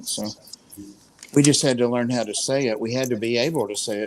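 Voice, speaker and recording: A man talks at a fairly quick pace, medium in pitch, with ordinary pitch variation. Noticeable background noise sits behind him. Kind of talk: casual, conversational.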